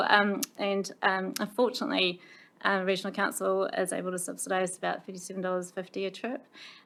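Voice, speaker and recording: A woman with a New Zealand accent speaks at a medium pitch and a fairly quick pace. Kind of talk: committee meeting presentation. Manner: hesitant, many fillers.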